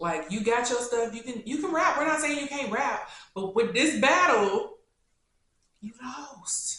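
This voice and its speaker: A woman speaks at a high pitch and a fairly slow pace, her tone animated with very wide pitch swings. Audible room echo surrounds her voice. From Kentucky, Louisville. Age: 20s. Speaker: YouTuber. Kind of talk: casual Q&A.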